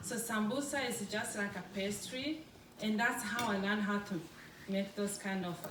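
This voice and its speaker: Pitched in the medium range with ordinary variation, a woman speaks at a moderate pace. Noticeable background noise and audible room echo surround her voice. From Congo. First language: French. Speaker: food business owner. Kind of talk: public talk. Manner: halting.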